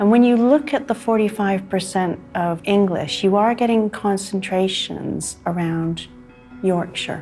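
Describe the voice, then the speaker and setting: Over music in the background, a woman talks at a fairly slow pace and a medium pitch. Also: ordinary pitch variation. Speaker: geneticist. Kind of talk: explaining DNA results to a guest.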